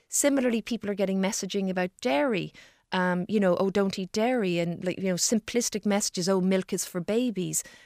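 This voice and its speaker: In an Irish accent, a woman talks at a fairly quick pace on a very clean recording with a silent background and a dry, close sound with no echo. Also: medium pitch for a woman, ordinary pitch variation. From Ireland. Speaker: gastroenterologist. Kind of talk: radio interview. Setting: studio.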